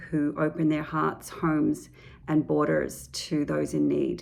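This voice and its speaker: Here a woman speaks with an Australian accent. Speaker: children's author. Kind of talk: book presentation to educators. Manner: hesitant, many fillers.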